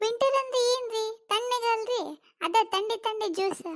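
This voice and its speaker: A woman uses a cartoonish character voice with an extremely high pitch. She talks at a very slow pace, and her intonation stays fairly even. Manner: chatty, cheeky.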